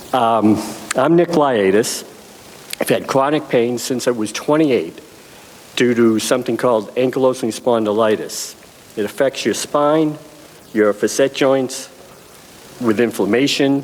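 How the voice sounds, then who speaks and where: Amid noticeable background noise, a man of medium pitch talks at a fairly slow pace with long, frequent pauses, very even loudness, and ordinary pitch variation. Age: 70s. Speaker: cannabis patient, chronic pain sufferer. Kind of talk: testimony. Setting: convention panel with audience. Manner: halting, frequent ums.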